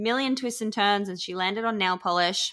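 Against a silent background in a very clean recording, a woman with an Australian accent speaks at a medium pitch in a bright, sharp tone with ordinary pitch variation. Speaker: podcast host and author. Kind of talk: casual interview chat.

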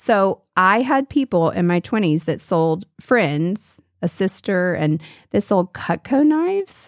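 In a dry, close recording with no echo, a woman with an American accent speaks at a very slow pace and medium pitch, with very wide pitch swings and very even loudness. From US South. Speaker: art teacher. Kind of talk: casual chat.

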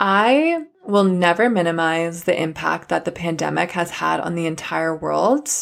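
Here a woman speaks with a Canadian accent at a fairly slow pace and fairly low pitch, with ordinary pitch variation. The recording is very clean, with a silent background. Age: 20s. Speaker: podcast host, mindset coach. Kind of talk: solo podcast monologue, personal story. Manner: warm, enthusiastic.

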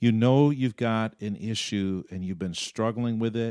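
A man with a plain, everyday voice and a medium pitch talks at a moderate pace in a very clean, dry, close recording with a silent background and no echo. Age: 50s. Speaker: pastor and podcast host. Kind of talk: casual chat. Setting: studio.

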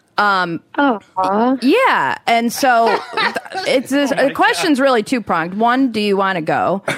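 Against noticeable background noise, a woman with a fairly high pitch speaks at a fairly slow pace, with lively intonation and very even loudness. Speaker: co-host, coach. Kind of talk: casual chat.

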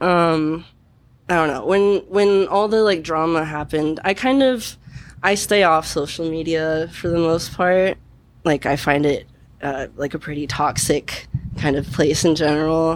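Speaking in an American accent, a woman uses a fairly low pitch with ordinary pitch variation at a fairly slow pace. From Missouri, Kansas City. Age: 20s. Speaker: bartender. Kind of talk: interview. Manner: halting.

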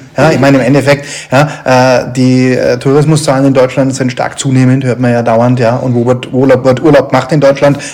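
A man with medium pitch speaks at a moderate pace in a monotone, flat intonation, with noticeable background noise. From northern Germany. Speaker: podcast host. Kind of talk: interview. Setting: on location at the brewery. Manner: halting.

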